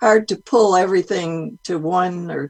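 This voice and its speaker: Spoken at a very slow pace with vocal fry, the voice carries an American accent and ordinary pitch variation. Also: woman. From US Midwest, Detroit. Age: 80s+. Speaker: retired art educator, guest. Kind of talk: interview via video call. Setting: video call.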